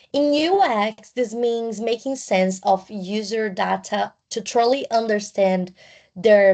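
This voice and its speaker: This woman talks at a very slow rate. Behind her, the background is quiet. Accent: non-native. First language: not English. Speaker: student. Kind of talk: class presentation. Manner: partly reading from notes; halting.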